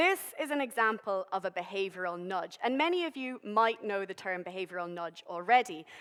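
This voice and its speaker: In a Dublin accent, a woman of medium pitch talks at a fairly quick pace with hardly any pauses. Her intonation is lively. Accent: Irish (Dublin). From Ireland, Dublin. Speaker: behavioural scientist. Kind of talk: public science talk. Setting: stage with audience. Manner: casual, humorous presenting.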